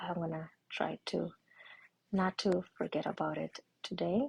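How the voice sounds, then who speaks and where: Quiet and whispering, a woman speaks with vocal fry in a dry, close sound with no echo. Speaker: art instructor. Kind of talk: tutorial. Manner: quiet, almost whispering.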